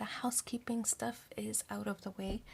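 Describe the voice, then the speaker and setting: The speaker is soft-spoken. The pace is moderate. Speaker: tarot reader. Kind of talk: tarot reading. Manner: quiet, hard to hear.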